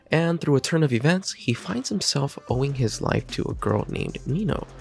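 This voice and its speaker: Lively intonation from a man at a fairly high pitch and moderate pace, with noticeable background noise. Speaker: manga youtuber. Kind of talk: video review monologue. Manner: soft-spoken; casual.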